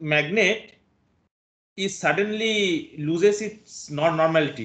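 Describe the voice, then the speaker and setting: Speaking at a very slow pace, a man shows ordinary pitch variation. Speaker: physics lecturer. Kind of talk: lecture. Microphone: video call.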